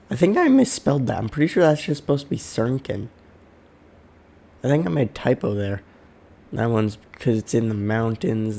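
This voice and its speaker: At a moderate pace, a man talks with ordinary pitch variation and a dark, mellow tone. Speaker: worldbuilding video creator. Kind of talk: slideshow presentation. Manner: casual, hesitant.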